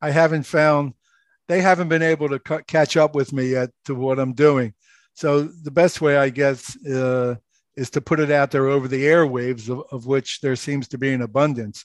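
In a Philadelphia accent, a man talks at a moderate pace with a fairly high pitch and fairly even intonation. The background is quiet, and the sound is dry and close with no echo. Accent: Philadelphia American. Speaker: author and radio host. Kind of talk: casual interview.

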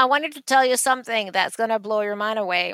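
A woman's bright, sharp voice with a Venezuelan accent and fairly even intonation. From Venezuela, Caracas. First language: Spanish. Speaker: art advisor and author. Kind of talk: interview storytelling.

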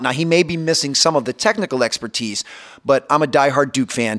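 A man with an unremarkable speaking voice at a fairly quick pace, ordinary pitch variation and a dry, close sound with no echo. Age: 40s. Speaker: basketball performance coach. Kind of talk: interview.

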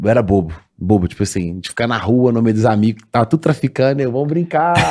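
An ordinary speaking voice from a man, medium in pitch, with lively intonation at a fairly quick pace. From Minas Gerais, Brazil (Sete Lagoas). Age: 20s. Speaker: comedy video creator. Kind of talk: casual chat.

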